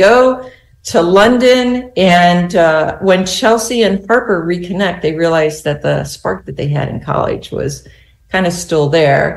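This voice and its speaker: Fairly slow, medium-pitched woman's voice, an unremarkable speaking voice with an American accent. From US Southwest. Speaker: novelist. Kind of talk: casual interview.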